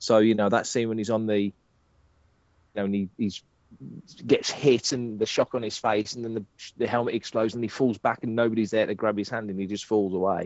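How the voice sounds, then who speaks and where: With an English accent and a fairly low pitch, a man talks at a fairly quick pace in a monotone, flat intonation, broken by long, frequent pauses. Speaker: fan site writer and podcaster. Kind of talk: casual chat.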